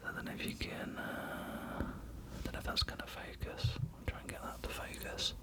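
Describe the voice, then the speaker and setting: A man whispers at a moderate pace in a relaxed tone, with noticeable background noise behind him. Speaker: ASMR creator. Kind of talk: casual talk to camera, showing items. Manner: relaxed, soft, conversational.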